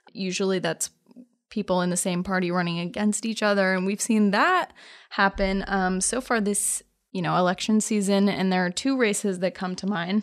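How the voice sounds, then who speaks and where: A woman with a plain, everyday voice speaks at a medium pitch and moderate pace, with fairly even intonation over a quiet background. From Oregon, US. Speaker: podcast host, political reporter. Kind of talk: casual chat.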